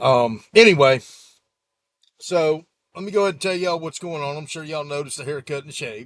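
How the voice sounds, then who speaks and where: A man at a very fast pace, with long, frequent pauses and ordinary pitch variation. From US Gulf Coast (South Mississippi / Florida). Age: 40s. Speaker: YouTuber, sailboat owner. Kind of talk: casual vlog update. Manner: casual, rambling with fillers.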